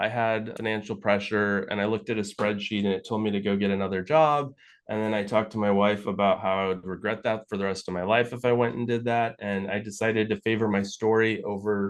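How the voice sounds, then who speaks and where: Against a quiet background, a man with a fairly low voice speaks at a fairly quick pace with fairly even intonation. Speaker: financial adviser and author. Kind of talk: interview. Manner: fast.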